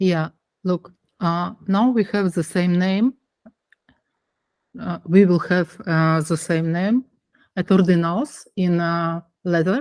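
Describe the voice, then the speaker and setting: This speaker, with a non-native accent, talks at a very slow pace with long, frequent pauses. Pitch variation is ordinary, and the sound is dry and close with no echo. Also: woman, fairly low pitch for a woman. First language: not English. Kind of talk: online meeting discussion. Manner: halting.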